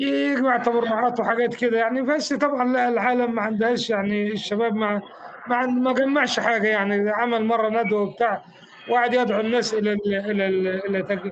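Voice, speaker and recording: With an Egyptian accent, a man speaks at an extremely high pitch with fairly even intonation and very even loudness, against noticeable background noise and audible room echo. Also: moderate pace. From Egypt, Fayoum. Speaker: former Islamist activist. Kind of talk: interview. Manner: halting, repeats words.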